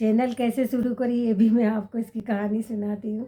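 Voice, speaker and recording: A woman's voice comes through somewhat breathy. Her tone is dark and mellow. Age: 60s. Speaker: vlogger. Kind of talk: casual chat to camera. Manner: halting, with self-corrections.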